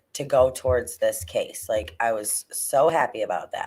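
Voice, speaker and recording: Speech comes at a fairly slow pace. The volume is quiet. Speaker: livestream host. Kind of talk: casual livestream chat. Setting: at home, downstairs. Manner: quiet, keeping voice down.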